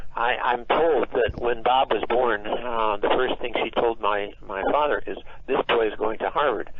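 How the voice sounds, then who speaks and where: A medium-pitched man with an American accent, fairly even intonation and a moderate pace, amid noticeable background noise. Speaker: musician. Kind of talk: interview. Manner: halting, many fillers.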